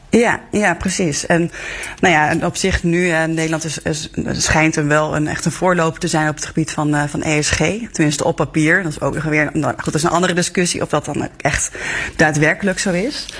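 A woman talks at a moderate pace with a very deep, low pitch and fairly even intonation. Noticeable background noise is present. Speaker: newspaper journalist. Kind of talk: news discussion.

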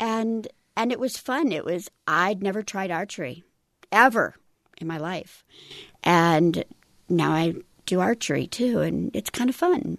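Speaking at a fairly slow pace with vocal fry, lively intonation and long, frequent pauses, a woman sounds dry and close with no echo. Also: medium pitch for a woman, quiet background. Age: 50s. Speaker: veteran. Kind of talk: interview. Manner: animated.

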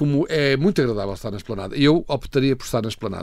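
This man's voice sits at a medium pitch with ordinary pitch variation. He talks very fast on a very clean recording with a silent background. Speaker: food critic. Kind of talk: casual chat. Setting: studio.

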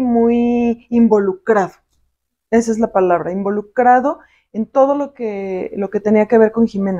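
Her voice has a dark, mellow tone and a fairly high pitch, and the woman talks at a fairly slow pace with fairly even intonation. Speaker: logistics professional. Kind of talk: interview.

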